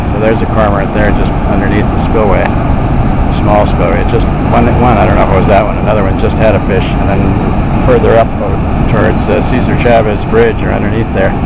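Loud background noise runs under speech at a fairly quick pace. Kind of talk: casual commentary. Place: waterside. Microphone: phone near.

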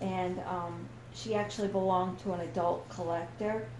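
Amid audible room echo and noticeable background noise, a woman speaks at a fairly slow pace and a fairly low pitch. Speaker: doll collector YouTuber. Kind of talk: casual unboxing vlog. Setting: dining room at home. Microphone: echo in the room.

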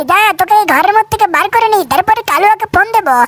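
In a cartoonish character voice, this man speaks at an extremely high pitch. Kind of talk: comic cartoon dub.

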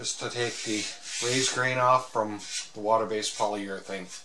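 Noticeable background noise sits behind the speech. A man is talking at a moderate pace. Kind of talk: tutorial. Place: workshop.

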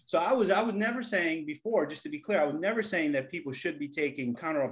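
Against a quiet background, a man talks at a very fast pace with a high pitch. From US Northeast, the Bronx, New York City. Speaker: engineer, former big tech engineering leader; podcast host. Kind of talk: casual chat. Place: home room. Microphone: webcam.

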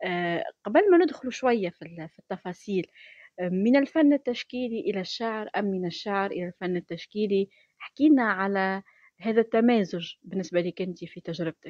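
A woman with a Tunisian accent speaks at a moderate pace with lively intonation and big swings in loudness. The sound is dry with no echo, over a quiet background. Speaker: radio host. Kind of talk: radio interview. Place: studio. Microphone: studio mic.

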